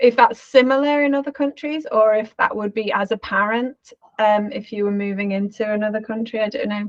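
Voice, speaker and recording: A woman talks at a fairly quick pace and a fairly high pitch, with a slight Scouse accent. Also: ordinary pitch variation. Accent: weak Scouse. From Liverpool, England. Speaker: architect, interviewer. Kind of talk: casual chat.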